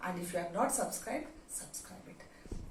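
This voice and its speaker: This woman's pitch swings very widely, with audible room echo and noticeable background noise around her. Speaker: biology teacher. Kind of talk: lecture. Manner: slow.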